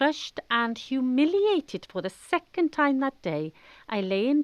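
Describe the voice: Fairly slow and full of big pitch swings, a woman's voice carries a South West Wales accent in a dry, close sound with no echo. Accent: South West Welsh.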